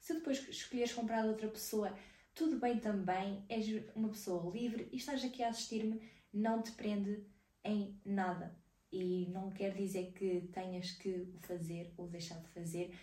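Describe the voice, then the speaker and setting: A woman's somewhat breathy voice, dark and mellow in tone, with a European Portuguese accent, at a fairly slow pace amid audible room echo. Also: medium pitch for a woman, ordinary pitch variation. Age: 20s. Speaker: digital marketing podcaster. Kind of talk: casual solo podcast talk.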